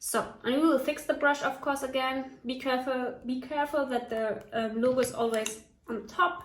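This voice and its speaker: A high-pitched woman with a German accent talks at a moderate pace over noticeable background noise. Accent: non-native English, German. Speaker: hair tutorial YouTuber. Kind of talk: casual tutorial talk to camera.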